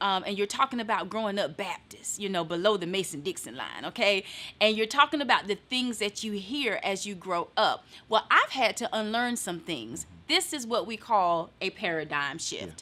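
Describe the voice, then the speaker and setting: Her intonation is lively, with a Southern US accent. The woman speaks at a moderate pace and a medium pitch. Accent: Southern twang. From eastern North Carolina. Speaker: motivational speaker. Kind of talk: casual chat.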